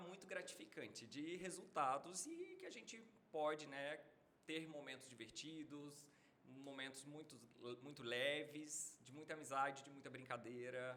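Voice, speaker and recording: In a room with audible echo, a man speaks at a fairly slow pace with big swings in loudness. His fairly high pitch has a bright, sharp tone. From northern Minas Gerais, Brazil (near Bahia border). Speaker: medical doctor. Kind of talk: casual podcast interview.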